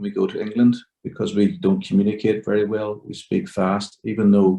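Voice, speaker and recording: In a Derry accent, a man talks at a fairly quick pace with a fairly low pitch, a dark, mellow tone and monotone, flat intonation. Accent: Northern Irish (Derry). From Northern Ireland, Derry. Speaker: workshop participant. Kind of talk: group discussion. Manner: very clear.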